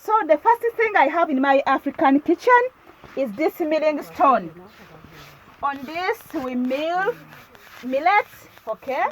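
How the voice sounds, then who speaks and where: A woman speaks in a Ugandan accent with very wide pitch swings and long, frequent pauses. The sound is dry and close with no echo, though noticeable background noise comes through. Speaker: lifestyle vlogger. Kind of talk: video tour. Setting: village kitchen. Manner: casual, repetitive.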